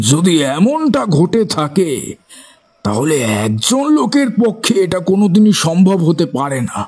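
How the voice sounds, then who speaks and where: Putting on a character voice, a man talks at a fairly slow pace in a high pitch with very wide pitch swings. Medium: audio drama. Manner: frank, somewhat formal.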